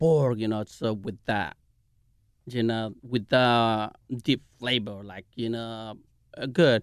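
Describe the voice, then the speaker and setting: A very slow delivery in a Mexican accent with fairly even intonation. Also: man. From Mexico. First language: Spanish. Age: 40s. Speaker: chef and restaurant owner. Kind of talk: interview. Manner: halting.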